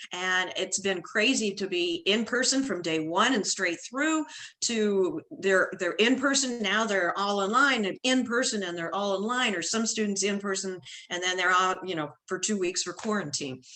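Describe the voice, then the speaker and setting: A woman speaks with a US Midwestern accent. Her pitch varies in an ordinary way. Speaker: retired band director, workshop presenter. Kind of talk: online professional development presentation.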